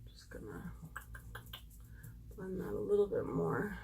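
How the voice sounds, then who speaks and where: A woman speaks at a moderate rate, her voice carrying audible echo from the room. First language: German. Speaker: beauty YouTuber. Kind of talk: makeup tutorial. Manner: casual, chatty.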